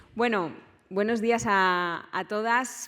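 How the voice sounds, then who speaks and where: A woman speaks with a Valencian accent and ordinary pitch variation. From Valencia, Spain. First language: Valencian (speaking Spanish). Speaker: politician. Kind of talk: conference speech. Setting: conference stage with audience.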